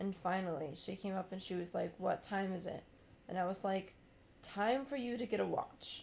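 Somewhat breathy, a woman with an American accent speaks at a medium pitch and moderate pace with ordinary pitch variation. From US South. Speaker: podcast co-host. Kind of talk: casual chat.

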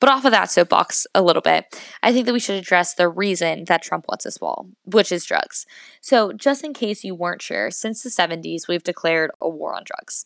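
With an American accent, a woman speaks at a moderate pace in a medium pitch with vocal fry and lively intonation, her loudness swinging widely in a dry, close sound with no echo. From US Northeast. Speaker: podcast host, college student. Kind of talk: solo podcast monologue on politics.

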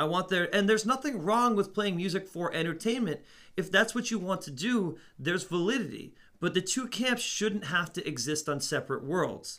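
A man's high, bright, sharp voice with lively intonation at a moderate pace. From Netherlands. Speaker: music store assistant manager and podcast co-host. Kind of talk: casual chat.

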